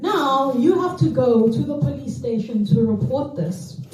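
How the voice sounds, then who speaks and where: A woman speaks with a South African accent over noticeable background noise. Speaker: stand-up comedian. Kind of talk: stand-up comedy set. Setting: comedy club stage.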